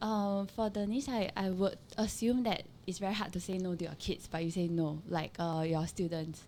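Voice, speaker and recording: The voice has a dark, mellow tone and a Singaporean accent. It flows with hardly any pauses and ordinary pitch variation. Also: woman, medium pitch for a woman, moderate pace. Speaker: podcast co-host. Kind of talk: casual chat.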